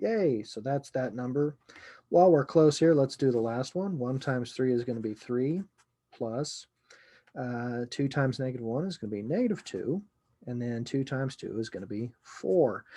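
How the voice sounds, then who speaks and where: Mumbling, a man speaks in a dark, mellow tone. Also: medium pitch for a man, ordinary pitch variation, moderate pace. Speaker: computer science lecturer. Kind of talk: lecture. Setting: recorded video lesson. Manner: mumbling to himself; casual, conversational.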